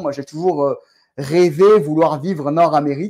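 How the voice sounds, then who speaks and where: The voice has a dark, mellow tone and moves at a moderate pace on a very clean recording with a silent background. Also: man. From France. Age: 40s. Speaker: real estate entrepreneur. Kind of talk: podcast interview.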